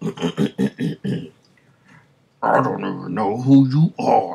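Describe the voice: Doing a put-on character voice, a man speaks at medium pitch. His pace is very slow.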